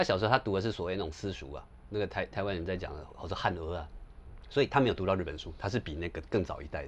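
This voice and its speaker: Speaking very fast with a Taiwanese accent, a man uses a very deep, low, somewhat breathy voice with ordinary pitch variation. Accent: Taiwanese Mandarin. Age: 40s. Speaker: scholar and author on Japan. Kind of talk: casual conversation.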